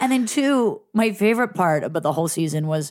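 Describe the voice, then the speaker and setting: The pitch swings very widely at a fairly quick pace. The recording is very clean, with a silent background. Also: woman. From New Jersey. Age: 30s. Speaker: TV assistant and podcast host. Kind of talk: casual chat.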